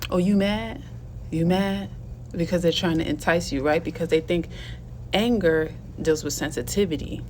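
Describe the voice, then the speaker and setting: A woman with a fairly low pitch and vocal fry speaks at a moderate pace with ordinary pitch variation and long, frequent pauses. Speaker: video blogger and teacher. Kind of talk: casual vlog monologue.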